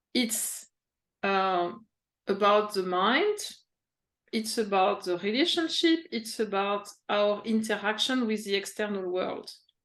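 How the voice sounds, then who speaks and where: A French accent at a fairly slow pace, with long, frequent pauses and ordinary pitch variation. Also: woman, medium pitch for a woman. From France, Paris. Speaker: executive coach. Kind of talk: interview. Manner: halting.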